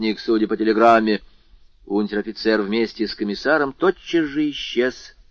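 This clip is an unforced reading voice.

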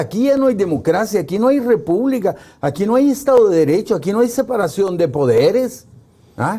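With a dark, mellow tone, a man talks at a fairly quick pace using lively intonation. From El Salvador, Santa Ana. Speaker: political analyst. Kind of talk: political interview discussion. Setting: studio.

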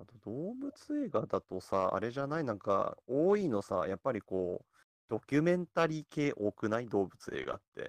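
A man at a moderate pace, big swings in loudness, dry, close sound with no echo, quiet background. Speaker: movie fan event host. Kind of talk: casual chat.

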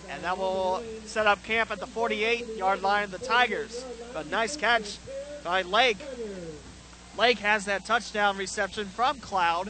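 Over noticeable background noise, a man speaks at a fairly slow pace with long, frequent pauses. His voice is high in pitch, with fairly even intonation. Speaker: play-by-play announcer. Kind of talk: live sports commentary. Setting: stadium broadcast booth.

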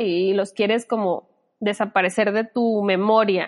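A woman's unremarkable speaking voice, fairly high in pitch, at a fairly slow pace. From Sinaloa, Mexico. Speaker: psychologist. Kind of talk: casual interview.

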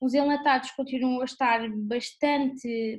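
Fairly slow delivery with fairly even intonation. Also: woman. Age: 20s. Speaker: supermarket cashier and student. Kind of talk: interview. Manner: halting.

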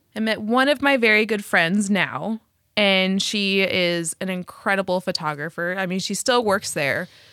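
The voice has a bright, sharp tone and ordinary pitch variation at a moderate pace, in a very clean recording with a silent background. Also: woman, medium pitch for a woman. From US Southwest. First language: Spanish. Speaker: podcast co-host, struggling artist. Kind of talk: casual chat.

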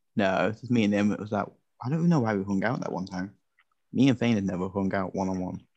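A man with a British accent and a fairly low pitch speaks at a very fast pace with ordinary pitch variation against a quiet background. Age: young (19). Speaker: podcast host. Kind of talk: casual chat. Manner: laughs often.

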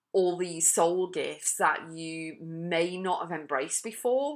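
A woman's fairly low voice with an English accent, ordinary pitch variation, and a fairly slow pace, in a very clean recording with a silent background. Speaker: podcast host and life coach. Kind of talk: motivational monologue. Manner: energetic.

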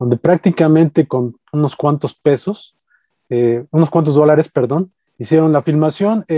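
Heard in a dry, close sound with no echo, a man with a Mexican accent speaks at a fairly high pitch in a dark, mellow tone, with ordinary pitch variation and very even loudness. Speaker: podcast co-host, horror film critic. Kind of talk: casual chat. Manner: halting, many fillers.

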